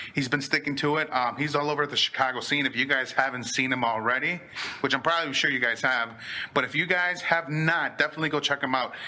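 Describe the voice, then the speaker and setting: A man speaks at a fairly quick pace with ordinary pitch variation. His tone is bright and sharp. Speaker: podcast host. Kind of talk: casual chat. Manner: fast; animated.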